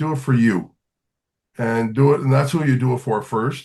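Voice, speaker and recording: Over a quiet background, a man talks at a fairly quick pace in a plain, everyday voice. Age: 60s. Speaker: singer-songwriter and teacher. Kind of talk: podcast interview.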